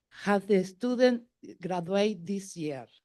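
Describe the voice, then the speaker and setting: Lively intonation with a Spanish accent. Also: woman. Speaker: parent speaking at public comment. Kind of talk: public comment. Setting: public meeting. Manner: halting.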